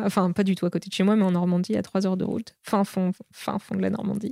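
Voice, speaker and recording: The woman's dark, mellow tone sits at a medium pitch with fairly even intonation, recorded very cleanly against a silent background with a dry, close sound and no echo. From Normandy, France. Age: 30s. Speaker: entrepreneur. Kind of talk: casual interview. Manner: halting, many fillers.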